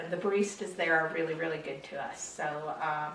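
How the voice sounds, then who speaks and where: Audible room echo and noticeable background noise around a woman's fairly quick speech. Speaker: knitting podcaster. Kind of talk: casual chat.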